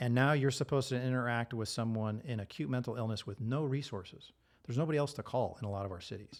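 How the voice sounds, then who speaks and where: Medium in pitch with ordinary variation, a man's voice moves at a very fast pace. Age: 50s. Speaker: former police officer and air marshal. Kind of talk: podcast interview.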